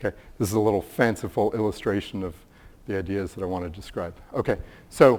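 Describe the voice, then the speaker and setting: A man speaks at a very fast pace in a fairly low voice. His pitch varies in an ordinary way, and the recording is very clean with a silent background. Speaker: neuroscience researcher. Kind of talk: conference talk.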